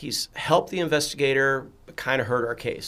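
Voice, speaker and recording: In an American accent, the speaker keeps a moderate pace and fairly even intonation. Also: man. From southern Illinois. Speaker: former fraud investigator. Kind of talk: podcast interview.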